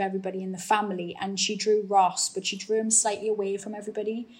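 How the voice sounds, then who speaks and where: With a Geordie accent, a woman speaks at a medium pitch and a fairly quick pace. Her voice is somewhat breathy and her intonation monotone and flat. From northeast England. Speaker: actor. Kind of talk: interview.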